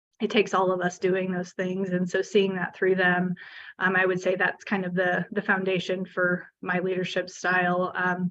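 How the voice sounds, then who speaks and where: Spoken with a Midwestern US accent, the delivery has a monotone, flat intonation. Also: woman, medium pitch for a woman, moderate pace. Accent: US Midwest. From Kansas, small town. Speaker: city administrator. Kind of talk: panel discussion.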